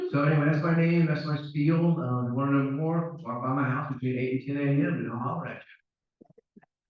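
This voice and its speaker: Ordinary pitch variation comes through with audible room echo and music in the background. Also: man. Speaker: town council candidate, retired police officer. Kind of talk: candidate speech at a public forum. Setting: town hall forum with audience. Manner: casual, folksy.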